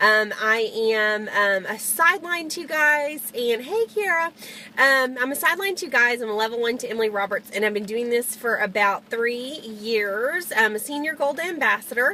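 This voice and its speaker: A woman speaks loudly in a high voice with lively intonation. Her pace is moderate, with noticeable background noise. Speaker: network marketing distributor. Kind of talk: live video tips talk. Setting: in a car. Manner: hesitant fillers.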